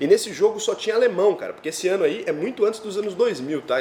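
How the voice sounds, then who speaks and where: A man's very fast, animated speech with lively intonation over noticeable background noise. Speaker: finance youtuber. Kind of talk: personal storytelling monologue. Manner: casual, animated.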